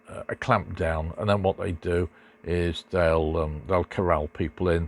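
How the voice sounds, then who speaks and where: In a very clean recording with a silent background and a dry, close sound with no echo, a man with an English accent and a very deep, low pitch speaks at a moderate pace. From Great Britain. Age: 70s. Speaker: motorcycle vlogger. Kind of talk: casual monologue. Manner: halting, many fillers.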